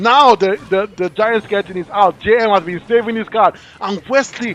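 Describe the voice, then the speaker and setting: A man talks in a high pitch with an animated tone. The sound is dry and close, with no echo. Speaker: esports commentator. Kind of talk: live commentary. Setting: livestream. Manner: fast.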